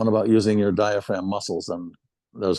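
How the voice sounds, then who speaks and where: A man rattles along at a very fast pace in a dark, mellow tone. The background is quiet. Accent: Midwestern American. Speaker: retired military band euphonium player. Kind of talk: interview reminiscence. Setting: video interview.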